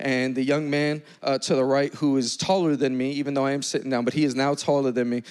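With an American accent, a man talks at a fairly quick pace in an animated tone over noticeable background noise. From New York City. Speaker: pastor. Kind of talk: sermon. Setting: church stage with congregation.

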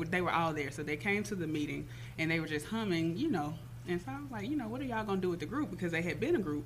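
With audible room echo, a woman speaks at a fairly low pitch and uses lively intonation. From Jackson, Mississippi. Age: young. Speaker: artist manager. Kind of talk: casual interview.

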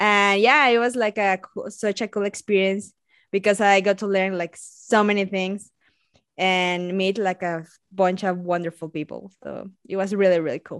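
In a Spanish accent, a woman talks at a moderate pace and a medium pitch with fairly even intonation. The sound is dry and close with no echo over a quiet background. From Mexico. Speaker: biologist and science communicator. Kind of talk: casual interview chat.

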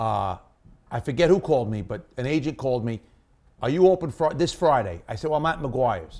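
On a very clean recording with a silent background, a man talks at a fairly quick pace in an animated tone, with lively intonation, vocal fry, and long, frequent pauses. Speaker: stand-up comedian. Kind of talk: stand-up comedy, told as a conversational road story. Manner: animated, punchy storyteller, acts out dialogue with quick 'I go... he goes' quotes.

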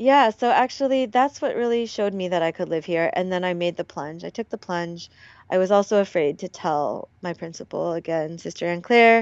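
This woman has an ordinary speaking voice at medium pitch. Her intonation is lively and her pace moderate. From Hawaii and Oregon. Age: 30s. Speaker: English teacher and Korean adoptee. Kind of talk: casual interview chat.

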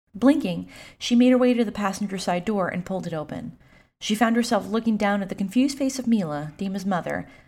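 Someone reads aloud in a natural voice.

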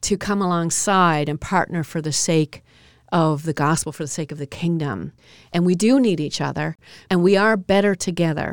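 This is an ordinary speaking voice from a woman with a fairly low pitch and ordinary pitch variation. She speaks at a moderate pace, and the sound is dry and close with no echo. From Newfoundland, Canada. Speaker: Salvation Army officer and gender equity advocate. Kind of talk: interview about faith and gender equity.

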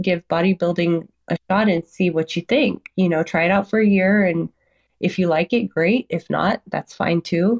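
A woman with a normal speaking voice talks at a moderate pace, fairly low in pitch, with fairly even intonation and very even loudness. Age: 40s. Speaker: retired Marine and amateur bodybuilder. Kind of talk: casual interview chat.

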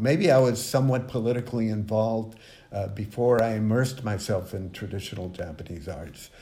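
Somewhat breathy and in a dark, mellow tone, a man talks at a fairly quick pace and medium pitch with ordinary pitch variation, with audible room echo. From Mexico. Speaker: visual artist. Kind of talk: interview. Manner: halting.

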